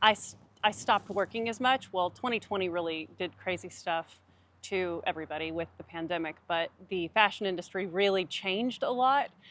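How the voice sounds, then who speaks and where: On a very clean recording with a silent background, a woman speaks at a medium pitch and moderate pace in a plain, everyday voice. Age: 30s. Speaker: fashion model and YouTube co-host. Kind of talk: casual chat.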